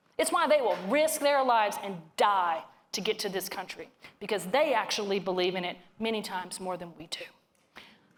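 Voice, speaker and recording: An animated woman's voice in a Southern US accent, with big swings in loudness, in a very clean recording with a silent background. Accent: hillbilly accent (self-described). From northern Louisiana. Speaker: economist speaker. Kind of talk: keynote talk to live audience. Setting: stage with audience.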